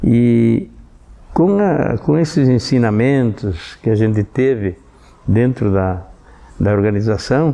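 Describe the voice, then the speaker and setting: Spoken at a very slow pace with long, frequent pauses, this voice has a dark, mellow tone, lively intonation and very even loudness. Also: man, medium pitch for a man. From southern Brazil, Rio Grande do Sul (Sarandi). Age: 70s. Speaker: civic organization veteran member. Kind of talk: documentary testimony. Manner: halting, with many repetitions and fillers.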